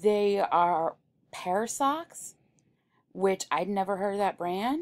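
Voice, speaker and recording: A woman talks at a very slow pace with lively intonation and long, frequent pauses, in a very clean recording with a silent background. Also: medium pitch for a woman. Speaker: online reseller and video host. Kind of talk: casual vlog talk.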